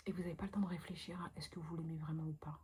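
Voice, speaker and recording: A soft-spoken woman whispers at a fairly quick pace. Vocal fry runs through her words. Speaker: vlogger. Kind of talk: casual talk to camera. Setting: bedroom at night, indoors. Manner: whispered, soft-spoken.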